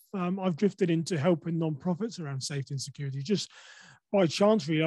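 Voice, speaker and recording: Against a quiet background, a man with an English accent speaks in a dark, mellow tone at fairly high pitch with ordinary pitch variation, the sound dry and close with no echo. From England. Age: 40s. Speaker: podcaster and safety speaker. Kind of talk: interview conversation. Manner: hesitant, many fillers.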